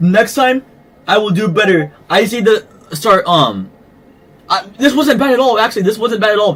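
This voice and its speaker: A high-pitched man speaks with lively intonation and long, frequent pauses. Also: moderate pace. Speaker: VR boxing fight commentator and streamer. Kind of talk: casual livestream wrap-up. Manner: casual, filler-heavy.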